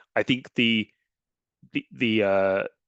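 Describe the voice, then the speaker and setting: With an English accent, a man talks in a dry, close sound with no echo. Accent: English accent, noticeable. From England. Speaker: academic researcher. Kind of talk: conference Q&A. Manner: halting, with many fillers and restarts.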